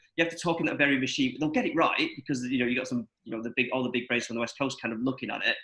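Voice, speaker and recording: With a northern English accent, a man speaks at a very fast pace with hardly any pauses, his medium-pitched voice holding a fairly even intonation. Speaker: broadcaster digital products director. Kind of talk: panel discussion. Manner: halting, many repetitions.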